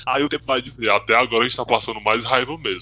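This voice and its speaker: The man's voice has a bright, sharp tone. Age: 20s. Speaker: tribute band member, podcast co-host. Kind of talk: casual chat.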